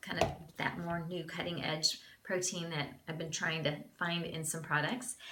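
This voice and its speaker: A woman speaks at a moderate pace in a fairly low voice, with noticeable background noise behind her. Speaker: beauty vlogger. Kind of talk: product review tutorial. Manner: casual, chatty.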